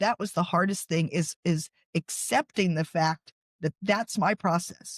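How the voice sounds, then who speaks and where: In an ordinary speaking voice with a dry, close sound and no echo, a woman talks at a fairly slow pace and medium pitch. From US South, coastal North Carolina. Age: 60s. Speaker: author and podcast host. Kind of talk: interview.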